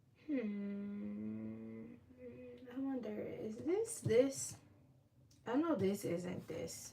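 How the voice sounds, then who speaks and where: Quiet and relaxed in tone, a woman speaks at a very slow pace with long, frequent pauses and big swings in loudness, amid audible room echo and noticeable background noise. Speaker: baker and livestream host. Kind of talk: casual livestream chat while coloring. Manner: relaxed, chatty.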